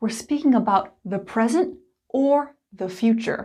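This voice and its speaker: With an American accent, a woman speaks in a fairly high, somewhat breathy voice of dark, mellow tone and lively intonation. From United States. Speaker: English teacher. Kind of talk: tutorial. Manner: clear and deliberate.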